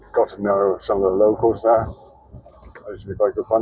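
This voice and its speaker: A mumbling man at a very fast pace, medium in pitch, flat and monotone. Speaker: travel vlogger. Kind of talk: casual vlog monologue. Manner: halting.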